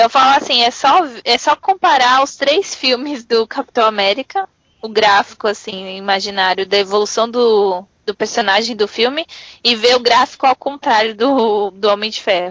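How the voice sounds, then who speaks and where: A woman with an ordinary speaking voice talks at a moderate pace, fairly high in pitch with ordinary pitch variation, the sound dry and close with no echo. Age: 20s. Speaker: podcast guest. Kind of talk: casual chat.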